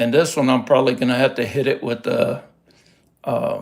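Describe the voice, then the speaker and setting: In a relaxed tone, a man speaks with a Texas accent. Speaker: rockhound hobbyist youtuber. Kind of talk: casual livestream show-and-tell. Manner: relaxed, hesitant with fillers.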